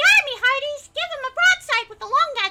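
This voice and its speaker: A woman projects a raised, put-on character voice at an extremely high pitch. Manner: bad, swaggering, shouting orders.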